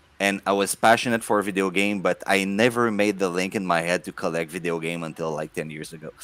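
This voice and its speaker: This man talks very fast with hardly any pauses, his very deep, low voice keeping a fairly even intonation. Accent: strong French Canadian. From Quebec. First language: French. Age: 40s. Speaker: video game collector, content creator. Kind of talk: casual podcast interview. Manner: halting, repeats words.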